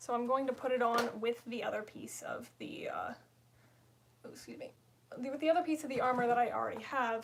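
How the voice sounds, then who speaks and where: High-pitched and fairly quick, a woman speaks with ordinary pitch variation, long, frequent pauses and big swings in loudness. Noticeable background noise sits behind her. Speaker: livestreamer, costume maker. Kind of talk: casual livestream crafting chat. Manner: casual, hesitant with fillers.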